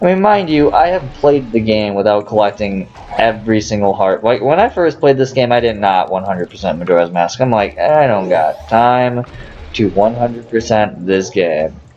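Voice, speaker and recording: Over noticeable background noise, a man of medium pitch speaks at a moderate pace with lively intonation and very even loudness. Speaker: gaming let's player. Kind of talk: gameplay commentary. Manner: halting, stuttering. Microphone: poor audio quality.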